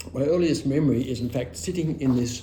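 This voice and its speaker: A man with an Australian accent, somewhat breathy, with a dark, mellow tone, a fairly quick pace and audible room echo. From Australia, rural western Victoria. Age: 70s. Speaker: oral history interviewee. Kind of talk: oral history interview, personal reminiscence. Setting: at his home.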